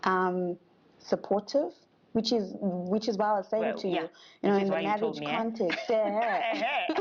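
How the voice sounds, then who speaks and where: An ordinary speaking voice from a woman, medium in pitch, lively in intonation, at a moderate pace. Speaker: television presenter, news anchor, voice over artist. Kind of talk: interview answer.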